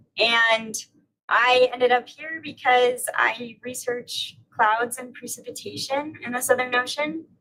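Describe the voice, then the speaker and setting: Here a woman with a high pitch and a bright, sharp tone talks at a fairly slow pace. Her intonation is fairly even, with big swings in loudness. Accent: General American. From Utah, US. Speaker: atmospheric researcher. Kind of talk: self-introduction on livestream.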